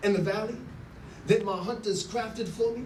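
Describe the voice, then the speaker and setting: A high-pitched man's voice with fairly even intonation over noticeable background noise. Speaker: spoken word poet. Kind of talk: spoken word poetry performance. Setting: live event venue.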